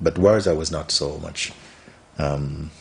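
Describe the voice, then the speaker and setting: A man speaks in a very deep, low pitch over noticeable background noise. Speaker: spiritual teacher. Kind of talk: interview answer. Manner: soft-spoken.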